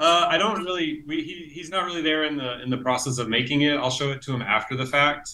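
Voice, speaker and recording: The words come at a very fast pace with hardly any pauses. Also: man, fairly high pitch for a man, ordinary pitch variation. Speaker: illustrator; interviewee. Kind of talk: casual interview. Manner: hesitant, many fillers. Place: home room. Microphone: earbuds.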